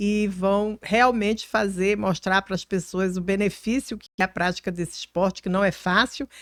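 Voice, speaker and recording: A woman's ordinary speaking voice at medium pitch, fairly slow and fairly even in intonation, in a dry, close sound with no echo on a very clean recording with a silent background. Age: 60s. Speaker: politician. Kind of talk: podcast interview.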